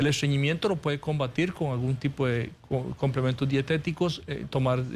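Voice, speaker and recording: Speech comes at a fairly quick pace. There is a somewhat breathy quality to it. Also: man. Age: 40s. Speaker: surgical oncologist. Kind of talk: TV interview.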